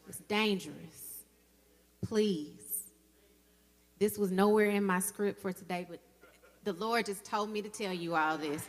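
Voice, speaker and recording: A woman with a Southern US accent talks at a medium pitch with ordinary pitch variation. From Mississippi, Jackson. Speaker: dentist and dental professor, guest speaker. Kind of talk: women's day church address.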